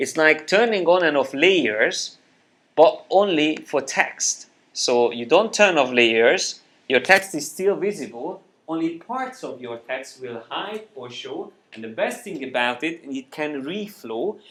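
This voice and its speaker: At a fairly slow pace, a man talks in a fairly high pitch, his voice making very wide pitch swings and big swings in loudness. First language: Hungarian. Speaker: software trainer. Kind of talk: live software tutorial class. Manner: halting, many fillers. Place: classroom.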